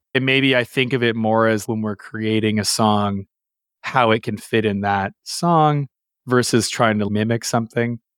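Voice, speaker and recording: A man speaks in an ordinary speaking voice, medium in pitch, with a Canadian accent and fairly even intonation at a moderate pace. The sound is dry and close with no echo, on a very clean recording with a silent background. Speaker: bass player in a rock band. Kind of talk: casual interview.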